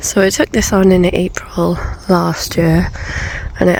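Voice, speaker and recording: A woman with a British accent, over noticeable background noise. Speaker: allotment gardener. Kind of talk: casual talk to camera.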